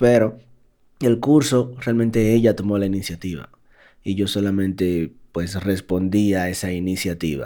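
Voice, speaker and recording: The recording is very clean with a silent background. A man speaks at a fairly low pitch and fairly slow pace in a dark, mellow tone with ordinary pitch variation. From Dominican Republic. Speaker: podcast co-host. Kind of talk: casual chat; reading aloud.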